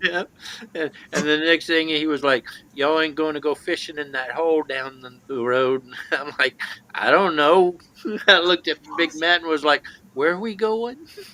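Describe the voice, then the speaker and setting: A man with an American accent and a fairly high pitch, moderate pace and ordinary pitch variation, dry and close with no echo, amid noticeable background noise. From Alabama, US South. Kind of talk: casual chat.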